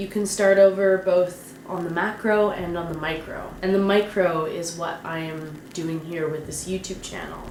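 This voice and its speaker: A woman speaks at a moderate pace with a medium pitch that varies in an ordinary way. Audible room echo and noticeable background noise fill the recording. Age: 30s. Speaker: fantasy author and vlogger. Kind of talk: casual vlog monologue. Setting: home vlog to camera. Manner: off the cuff.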